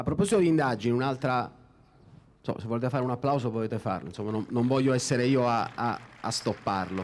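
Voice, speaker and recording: A man talks at a very fast pace with ordinary pitch variation. He leaves long, frequent pauses. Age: 30s. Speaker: journalist moderator. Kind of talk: moderated public interview. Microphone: handheld.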